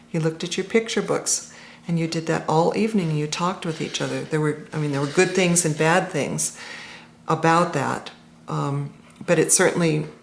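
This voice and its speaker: Very deep and low for a woman, with vocal fry, at a fairly quick pace. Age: 50s. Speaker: interviewee in documentary about text games. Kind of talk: documentary interview.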